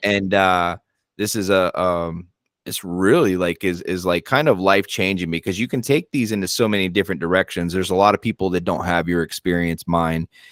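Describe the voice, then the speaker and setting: A man with an American accent speaks at a fairly quick pace in a very deep, low pitch with ordinary pitch variation. The sound is dry and close with no echo, on a very clean recording with a silent background. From rural US. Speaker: podcast host. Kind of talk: casual chat.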